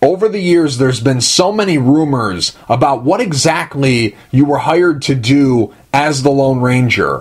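Against noticeable background noise, a man with a fairly high pitch talks at a moderate pace in an animated tone, with lively intonation and hardly any pauses. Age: 20s. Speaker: podcast host. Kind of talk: interview.

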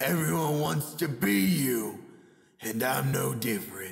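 Raspy put-on character voice from a man, medium pitch, fairly slow pace, slight echo. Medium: dub.

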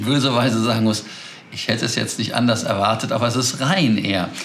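Fairly quick male speech with ordinary pitch variation. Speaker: aviation news host. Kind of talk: news commentary to camera. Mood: amused, chatty. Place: home room.

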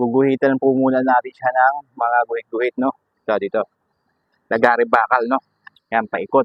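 A medium-pitched man at a moderate pace, monotone and flat, with big swings in loudness and long, frequent pauses. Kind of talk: tutorial. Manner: casual, frequent filler 'no?'.

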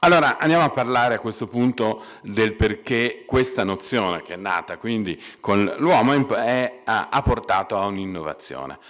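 At a moderate pace, a man speaks with lively intonation. His voice sits at a medium pitch over a quiet background. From Italy, Pisa (Tuscany); Tuscany, Italy. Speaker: computer science professor. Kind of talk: lecture. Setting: stage with audience. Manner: halting, many fillers. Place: hall. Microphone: podium.

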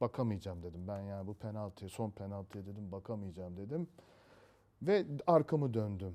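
Dark and mellow in tone, this voice moves at a moderate pace with very wide pitch swings, captured in a very clean recording with a silent background. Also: man. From Istanbul, Turkey. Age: 50s. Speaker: retired insurance professional, football fan club member. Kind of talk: interview. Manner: hesitant, many fillers.

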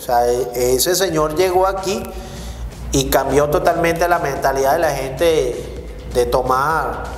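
A man with a Venezuelan accent talks at a fairly slow pace. Light background noise and audible room echo are present. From Caracas, Venezuela. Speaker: podcast host. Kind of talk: casual interview chat. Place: studio.

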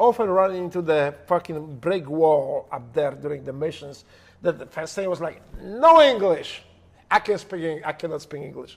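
The speaker is a man with a high pitch who goes at a fairly slow pace. His volume shifts a lot from loud to soft. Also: ordinary pitch variation. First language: Polish. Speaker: former special operations operator. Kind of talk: heavily profane, casual storytelling. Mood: humorous, animated. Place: home room.

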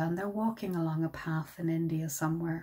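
A woman speaks in a dark, mellow, somewhat breathy voice. The background is quiet. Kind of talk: reflective dharma talk. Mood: warm, gentle, happy. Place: home room.

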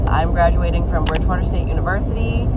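Loud background noise surrounds a woman whose voice is dry and free of echo. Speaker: vlogger. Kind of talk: casual vlog chat. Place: car. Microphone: phone near.

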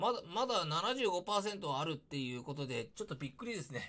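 A man's bright, sharp, high-pitched voice with very wide pitch swings at a moderate pace. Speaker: YouTuber discussing news. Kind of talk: casual commentary. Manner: halting, many fillers. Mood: critical, opinionated.

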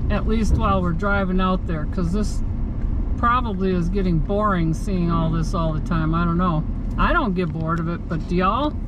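The recording of this woman has a dry sound with no echo but noticeable background noise. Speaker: vlogger driving to scrapyard. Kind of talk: casual vlog chat. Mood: relaxed, chatty. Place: car. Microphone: phone near.

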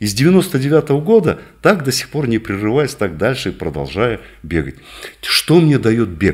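Vocal fry runs through this man's speech as he talks at a fairly slow pace. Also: quiet background. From northern Kazakhstan. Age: 60s. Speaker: physician; interviewee. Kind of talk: interview; exercise demonstration. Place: office. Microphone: studio mic.

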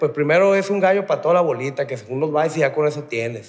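A man races along very fast in a fairly high pitch. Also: quiet background. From Mexico, Tijuana; Mexico. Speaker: rehab center resident, former gunman; podcast guest. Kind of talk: interview. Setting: rehab center. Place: studio. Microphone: studio mic.

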